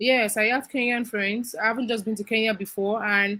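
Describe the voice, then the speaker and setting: The voice has a bright, sharp tone and monotone, flat intonation, moving at a moderate pace. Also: woman. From Nigeria. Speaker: content creator. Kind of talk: interview.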